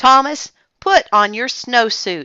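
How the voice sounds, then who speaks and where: This female-sounding voice is a put-on character voice, pitched high for a woman. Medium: read story. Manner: stern, commanding.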